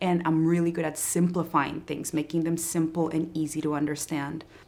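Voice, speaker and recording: In a Spanish accent, a woman speaks at a fairly low pitch with monotone, flat intonation. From Colombia. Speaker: entrepreneur and marketing coach. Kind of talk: interview.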